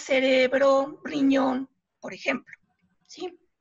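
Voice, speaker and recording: Music plays in the background as a woman speaks in a high voice. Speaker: biology lecturer. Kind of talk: radio interview, scientific explanation.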